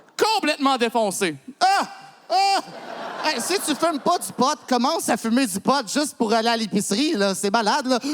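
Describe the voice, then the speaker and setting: At a moderate pace, a man speaks at an extremely high pitch with very wide pitch swings against noticeable background noise. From Quebec, Montreal. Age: 30s. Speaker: comedian. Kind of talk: stand-up. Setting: stage with audience.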